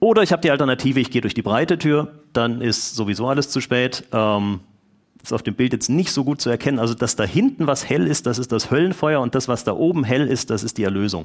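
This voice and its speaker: On a very clean recording with a silent background, a man of medium pitch talks very fast with lively intonation. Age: 40s. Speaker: lay preacher. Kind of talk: sermon.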